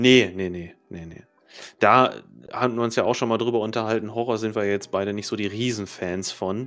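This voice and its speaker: A man speaks at a moderate pace and a fairly low pitch, with fairly even intonation. His loudness swings widely. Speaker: podcast host. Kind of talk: casual chat.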